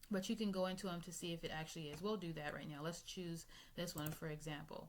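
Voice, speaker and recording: A woman talks very fast with a fairly low pitch and fairly even intonation. Audible room echo surrounds her voice. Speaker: YouTuber sharing remote job leads. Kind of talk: screen-share tutorial. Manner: casual, filler words.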